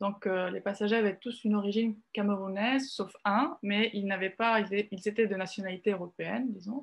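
The speaker is a woman. She keeps a moderate speed. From Italy. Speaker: journalist. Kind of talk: video call discussion. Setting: video call. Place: home room. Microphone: video call.

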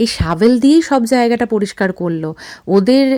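A woman speaks with a dark, mellow tone and lively intonation. The recording is very clean with a silent background and a dry, close sound with no echo. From India. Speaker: vlogger. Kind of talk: vlog narration.

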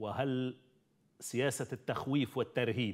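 At a fairly slow pace, a man speaks at a medium pitch over a quiet background. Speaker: TV call-in show host. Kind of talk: live call-in talk show. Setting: studio. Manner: formal. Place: studio. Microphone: lapel.

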